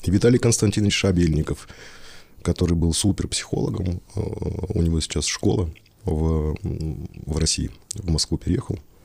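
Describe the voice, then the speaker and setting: A somewhat breathy man with a very deep, low pitch and a dark, mellow tone speaks with ordinary pitch variation. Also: moderate pace. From Russian Far East. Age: 40s. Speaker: theatre director. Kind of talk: casual chat.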